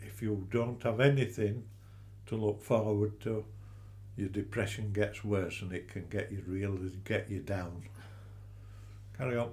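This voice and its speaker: A man speaks in a fairly low, somewhat breathy voice with monotone, flat intonation. He goes at a fairly slow pace with long, frequent pauses. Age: 80s+. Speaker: retired angler living with cancer. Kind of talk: interview.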